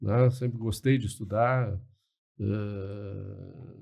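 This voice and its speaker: Very slowly and with fairly even intonation, a man speaks at a medium pitch in a dark, mellow tone. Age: 60s. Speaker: liberal commentator, podcast guest. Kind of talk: podcast interview. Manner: hesitant, many fillers and repetitions.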